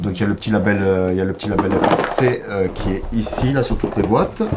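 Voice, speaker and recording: With noticeable background noise behind him, a man talks at a moderate pace in a fairly low pitch. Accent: Provençal. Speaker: board game publisher representative. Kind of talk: casual interview presenting products.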